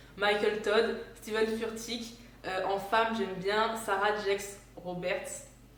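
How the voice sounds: Audible room echo surrounds a woman speaking at a medium pitch. Her pace is slow and her intonation fairly even.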